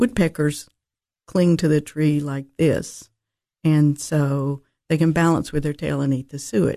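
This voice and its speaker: With a Tennessee accent, a woman speaks at a fairly slow pace in a dark, mellow tone with a very deep, low pitch. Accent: Southern US, Tennessee. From Nashville, Tennessee. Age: 70s. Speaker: birdwatcher. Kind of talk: casual interview chat. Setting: radio studio.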